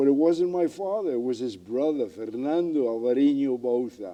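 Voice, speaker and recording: Moving at a moderate pace, a man talks in a Spanish accent. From Galicia, Spain, then New York from age nine. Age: 80s+. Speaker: retired police chief and author. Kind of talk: interview. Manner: articulate and colorful.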